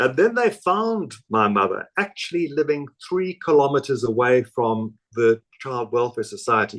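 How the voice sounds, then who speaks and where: Fairly slow delivery with very wide pitch swings and hardly any pauses, over a quiet background. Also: man, fairly high pitch for a man. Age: 70s. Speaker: author. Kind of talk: interview. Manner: halting.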